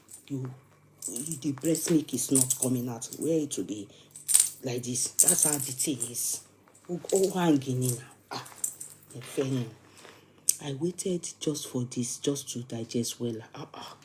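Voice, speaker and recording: A woman's very deep, low voice at a fairly slow pace, with ordinary pitch variation, long and frequent pauses, and noticeable background noise. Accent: southwestern Nigerian. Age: young. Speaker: online show host. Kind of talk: casual live chat. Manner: animated.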